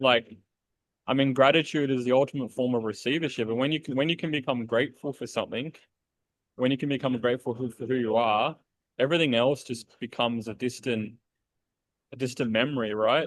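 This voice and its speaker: A man with an Australian accent speaks at a fairly quick pace with fairly even intonation. Long pauses come often. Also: medium pitch for a man. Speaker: podcast host. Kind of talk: casual interview chat.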